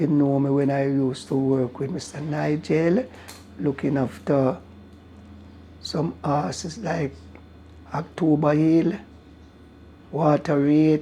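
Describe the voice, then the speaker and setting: A man speaks very slowly with a Jamaican accent, his voice fairly high-pitched with a dark, mellow tone. His pitch moves in an ordinary way, and long pauses come often. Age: 80s+. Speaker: racehorse groom. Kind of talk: interview answer.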